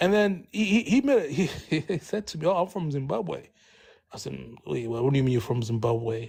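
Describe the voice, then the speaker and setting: Speaking at a fairly quick pace, a man with a fairly high, somewhat breathy voice makes very wide pitch swings on a very clean recording with a silent background. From Congo (DRC). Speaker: panelist in online discussion. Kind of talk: casual debate. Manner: halting, many repetitions.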